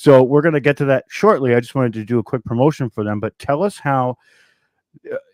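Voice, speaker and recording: A man with an American accent speaks in an unremarkable speaking voice at a medium pitch, his intonation lively, captured in a very clean recording with a silent background and a dry, close sound free of echo. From New York. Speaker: podcast host. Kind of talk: interview.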